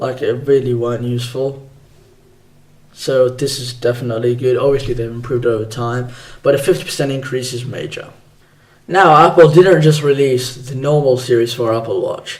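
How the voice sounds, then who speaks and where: With audible room echo, a man at medium pitch speaks somewhat breathily, his intonation fairly even but his loudness swinging widely. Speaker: tech podcast host. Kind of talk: solo tech podcast. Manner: fast; casual.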